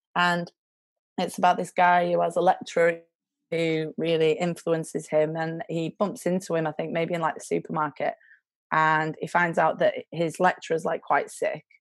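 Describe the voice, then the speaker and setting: A woman with a Lancashire accent, fairly low pitch, monotone, flat intonation and a moderate pace. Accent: Lancashire northern English. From northern England. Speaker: charity worker. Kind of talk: casual interview chat. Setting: video call.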